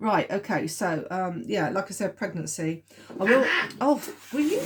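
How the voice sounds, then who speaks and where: Speaking at a moderate pace and a medium pitch with ordinary pitch variation, a woman with a southern English accent is heard over noticeable background noise. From southern England. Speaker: tarot reader. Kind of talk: tarot reading video. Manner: hesitant, many fillers.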